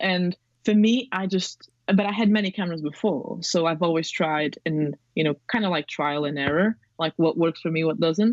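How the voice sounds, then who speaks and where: A woman with a non-native accent speaks at a medium pitch and a moderate pace, with ordinary pitch variation and a dry, close sound with no echo. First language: not English. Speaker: film photographer and filmmaker. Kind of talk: podcast interview. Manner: rambling, hesitant with fillers.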